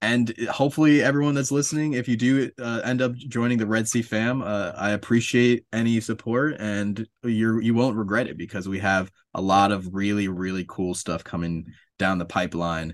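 A man with an unremarkable speaking voice talks at medium pitch and a moderate pace, with hardly any pauses and ordinary pitch variation. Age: 20s. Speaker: comic book writer and publisher. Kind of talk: casual interview.

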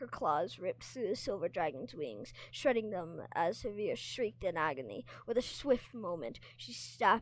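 With lively intonation, the clip is plain reading aloud.

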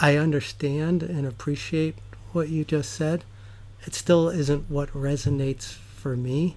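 This man has an unremarkable speaking voice with an American accent and fairly high pitch. He talks at a fairly slow pace with ordinary pitch variation. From US Northeast, New York. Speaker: guest, climate activist and synagogue member. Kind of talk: casual interview conversation.

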